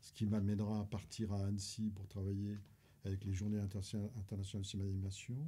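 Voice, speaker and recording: Fairly quick, somewhat breathy speech with a dark, mellow tone, flat monotone delivery and big swings in loudness. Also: man, fairly low pitch for a man. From France, Paris. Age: 70s. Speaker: retired teacher and film archivist. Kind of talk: interview. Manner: halting, many repetitions.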